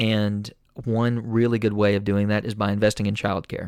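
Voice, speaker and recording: A man with an Appalachian accent speaks fairly quickly at a fairly low pitch, in a monotone, flat intonation. The sound is dry and close with no echo, on a very clean recording with a silent background. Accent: Appalachian Southern US. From Eastern Kentucky, Appalachia. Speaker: podcast host. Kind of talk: casual interview and monologue.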